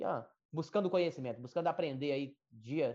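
With a dark, mellow tone, a man talks at a fairly quick pace in a fairly high pitch. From Brazil, rural Minas Gerais/Bahia border. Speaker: agricultural market analyst. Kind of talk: interview. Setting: live stream.

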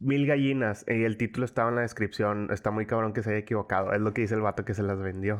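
The delivery comes at a very fast pace. Loudness stays very even and the intonation fairly even. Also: man, fairly low pitch for a man. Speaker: podcast co-host. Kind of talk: casual chat.

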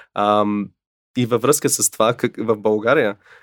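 A man speaks with an English accent and fairly even intonation. The recording is very clean, with a silent background. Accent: English accent in Bulgarian. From North America (USA and Canada). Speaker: documentary filmmaker and co-host. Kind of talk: casual conversation. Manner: halting, many fillers.

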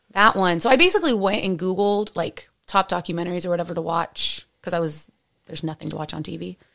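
In a very clean recording with a silent background, a woman with an American accent talks at a very fast pace with vocal fry, a fairly low pitch and fairly even intonation. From San Francisco Bay Area, US. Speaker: podcast co-host. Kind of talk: casual chat between partners.

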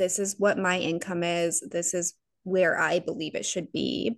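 A woman's fairly low-pitched, unremarkable speaking voice at a fairly slow pace over a quiet background. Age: 30s. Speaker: podcast co-host. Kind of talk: casual chat.

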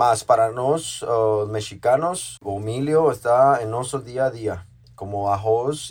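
A man's very slow speech with ordinary pitch variation, on a very clean recording with a silent background. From Mexico, Oaxaca. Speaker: chef and restaurant owner. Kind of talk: interview. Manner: halting, with repetitions.

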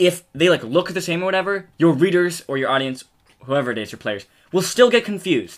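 A man with an American accent talks at a fairly quick pace, high-pitched and with lively intonation. His loudness swings widely. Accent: American, with some British-sounding words. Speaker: podcast co-host. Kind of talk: casual chat.

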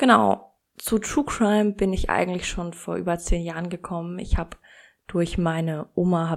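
A woman with an unremarkable speaking voice talks at a moderate pace with fairly low pitch and ordinary pitch variation. The recording is very clean, with a silent background. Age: 20s. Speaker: true crime podcast host. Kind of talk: podcast trailer introduction. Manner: casual.

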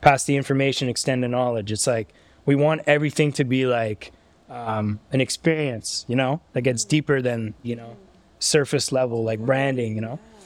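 Delivered at a moderate pace, this is a normal speaking voice with fairly even intonation. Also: man, medium pitch for a man. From Canada, Ottawa. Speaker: streetwear brand founder. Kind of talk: casual interview. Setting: brand's studio.

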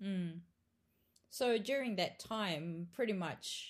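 Very slowly and somewhat breathily, a woman with a New Zealand accent speaks at a medium pitch with lively intonation. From Australia. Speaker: barista champion. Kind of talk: casual chat.

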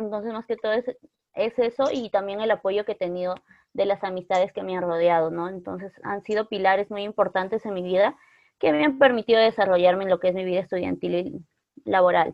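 An unremarkable speaking voice from a woman, medium in pitch, fairly quick, with ordinary pitch variation. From northern Peru, Otuzco. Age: 20s. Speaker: psychology student. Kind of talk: casual chat.

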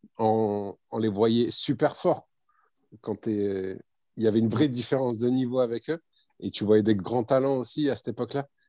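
Behind the speech, the background stays quiet. Delivery is fairly slow, and pitch varies in an ordinary way. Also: man, dry, close sound with no echo. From France, Bordeaux area. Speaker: former amateur footballer. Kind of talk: interview.

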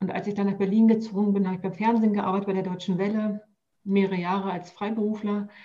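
A woman rattles along at a very fast pace in a medium pitch, her intonation flat and monotone. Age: 40s. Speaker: health coach. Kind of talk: casual chat.

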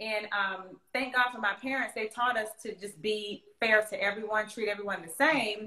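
A woman with a fairly high pitch speaks with fairly even intonation over noticeable background noise. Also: moderate pace, big swings in loudness. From Central Florida. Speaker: singer-songwriter. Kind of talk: casual interview chat. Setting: video call.

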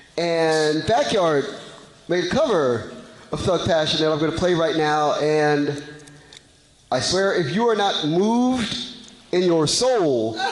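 A man with an American accent, high in pitch, at a fairly slow pace with long, frequent pauses, lively intonation and very even loudness, plus noticeable background noise and audible room echo. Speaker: panel moderator. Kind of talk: panel discussion.

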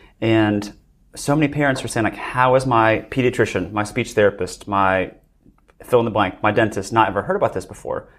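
A plain, everyday voice from a man at medium pitch, fairly quick, with ordinary pitch variation. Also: very clean recording, silent background. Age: 30s. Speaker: dentist. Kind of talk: casual chat. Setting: live event.

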